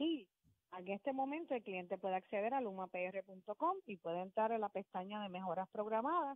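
At a moderate pace, a woman speaks in a normal speaking voice with medium pitch and lively intonation. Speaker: utility company customer service manager. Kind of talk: radio interview.

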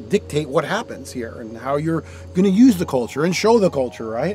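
With a New York accent, a man talks at a fairly quick pace with very wide pitch swings, the sound dry with no echo and faint music in the background. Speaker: surf photographer. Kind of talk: interview answer. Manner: slight edge, attitude. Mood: nostalgic, enthusiastic storytelling.

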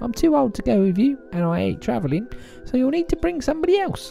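A put-on character voice at a very fast pace, with clear music in the background. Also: man, extremely high pitch for a man. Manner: warm, chatty.

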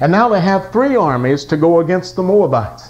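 With a warm, dramatic tone, a man speaks at a high pitch with very wide pitch swings. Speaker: pastor and gospel singer. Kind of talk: Sunday morning sermon retelling a Bible story. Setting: church service with congregation. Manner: dramatic storyteller, voicing kings' dialogue in a vivid narrative; folksy and warm, joking with the congregation.

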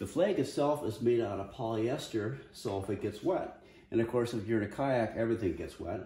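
Audible room echo surrounds a man with a dark, mellow tone and a fairly low pitch. He keeps a moderate pace and ordinary pitch variation.

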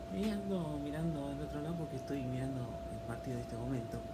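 A man talks at a moderate speed against loud background noise. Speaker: football fan reacting. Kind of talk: football match reaction. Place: home room. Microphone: phone near.

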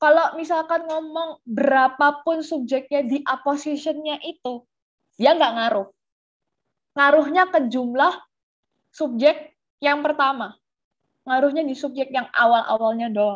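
At a fairly slow pace, a woman speaks in a high pitch with ordinary pitch variation, the background quiet. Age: young. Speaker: tutor. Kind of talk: online class lesson. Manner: casual. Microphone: webcam.

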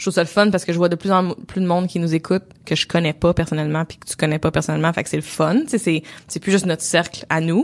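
Her delivery is very fast, with a fairly low pitch, fairly even intonation, and big swings in loudness from this woman. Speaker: podcast co-host and entrepreneur. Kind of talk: casual chat. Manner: gets louder and higher when passionate.

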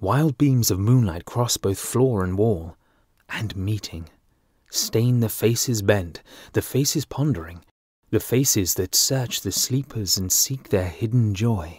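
On a very clean recording with a silent background, a man with an RP accent talks at a fairly slow pace in a fairly low, somewhat breathy voice with ordinary pitch variation. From England. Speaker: voice artist. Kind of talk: audiobook narration.

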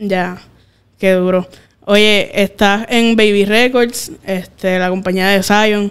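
Speaking at a very slow pace, a woman keeps her loudness very even and her intonation fairly even. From Puerto Rico. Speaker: podcast host. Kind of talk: casual interview. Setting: studio. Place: studio. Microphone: studio mic.

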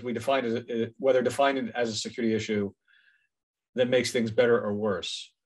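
A man speaks at a moderate pace. His pitch sits in the middle range.

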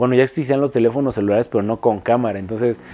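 The voice carries a dark, mellow tone and ordinary pitch variation, in a Mexico City accent. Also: man. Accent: central Mexican Spanish (Mexico City). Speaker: industrial designer. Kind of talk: interview monologue. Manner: halting, many repetitions and fillers. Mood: relaxed, reflective. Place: studio.

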